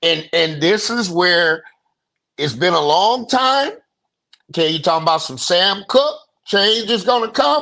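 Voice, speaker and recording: This man speaks at a fairly slow pace in a raised, projected voice, with long, frequent pauses. His pitch is high and his intonation lively. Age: 60s. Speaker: podcast host. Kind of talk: casual chat. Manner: animated.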